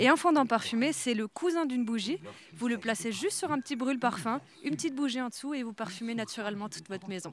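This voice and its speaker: A woman speaks very fast with an Alsatian accent. Her pitch is fairly high and her intonation lively. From Alsace. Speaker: artisan stallholder. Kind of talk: live TV interview. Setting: outdoor Christmas market.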